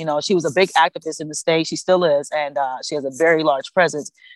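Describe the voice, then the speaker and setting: Heard with a dry, close sound with no echo, a woman with an American accent speaks in a plain, everyday voice at a fairly low pitch with ordinary pitch variation. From Cleveland, Ohio. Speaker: cannabis industry advocate and founder. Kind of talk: interview.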